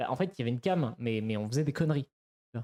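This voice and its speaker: A man's dark, mellow voice with ordinary pitch variation, dry and close with no echo. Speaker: streamer. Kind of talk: casual chat. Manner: fast; halting.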